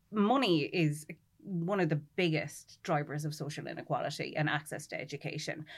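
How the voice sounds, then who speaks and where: This woman has a rural Irish accent. Her pitch is very deep and low. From rural Ireland. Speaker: literature lecturer. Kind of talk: panel discussion. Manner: animated.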